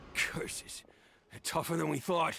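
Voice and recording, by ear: In a put-on character voice, a man speaks slowly at a fairly high pitch with vocal fry, a bright, sharp tone and ordinary pitch variation, faint music playing in the background.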